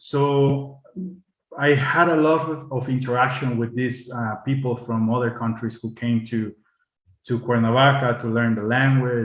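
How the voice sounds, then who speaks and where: Somewhat breathy, a man speaks fairly slowly with fairly even intonation. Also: medium pitch for a man. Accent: Spanish. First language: Spanish. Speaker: diplomat. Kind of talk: panel talk. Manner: halting.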